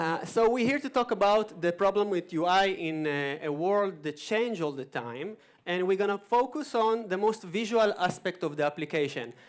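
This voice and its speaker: A man with an American accent has a high pitch and lively intonation. He keeps a moderate pace with hardly any pauses. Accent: thick Israeli accent, sometimes American. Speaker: conference speaker, web developer. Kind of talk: conference talk. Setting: stage with audience.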